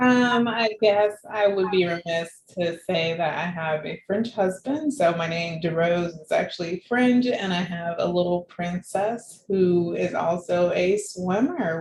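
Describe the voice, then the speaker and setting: Speaking fairly slowly with an American accent, a woman uses an ordinary speaking voice at medium pitch with ordinary pitch variation. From Florida, US South. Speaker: patient advocate and scholar. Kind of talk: interview. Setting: video call.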